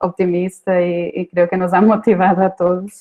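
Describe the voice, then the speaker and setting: With monotone, flat intonation, the woman talks at a fairly slow pace. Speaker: screenwriting professor. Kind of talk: conference talk. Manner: hesitant, many fillers.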